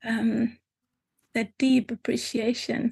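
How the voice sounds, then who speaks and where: Speaking at a very slow pace, a woman with a German accent keeps a fairly high pitch and a monotone, flat intonation. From Germany. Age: 50s. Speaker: spiritual teacher. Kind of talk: reflective interview.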